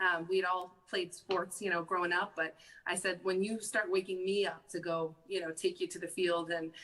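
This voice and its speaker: Speaking with a Massachusetts accent, a woman uses a bright, sharp tone at medium pitch with monotone, flat intonation. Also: moderate pace. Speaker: mother of a pro football player. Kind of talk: interview conversation. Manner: halting.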